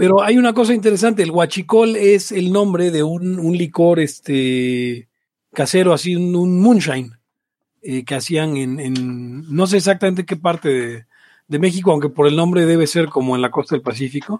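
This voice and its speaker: A man with a Mexican accent, high-pitched with lively intonation, at a moderate pace on a very clean recording with a silent background. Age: 30s. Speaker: podcast host. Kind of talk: casual chat.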